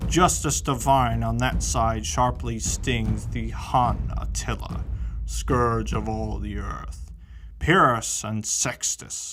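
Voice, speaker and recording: Someone speaks very slowly in a put-on character voice, with clear background noise. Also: man. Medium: read story. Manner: grave, solemn.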